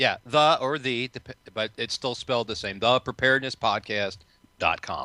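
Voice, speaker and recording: In a very clean recording with a silent background, a man with a Chicago accent speaks at medium pitch with fairly even intonation and a bright, sharp tone. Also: moderate pace, dry, close sound with no echo. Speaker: podcaster on preparedness. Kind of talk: talk radio interview.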